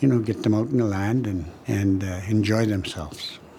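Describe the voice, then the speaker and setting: With noticeable background noise behind him, a man with a fairly low pitch talks at a moderate pace and fairly even intonation. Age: 70s. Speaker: community elder and harvester. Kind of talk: documentary interview.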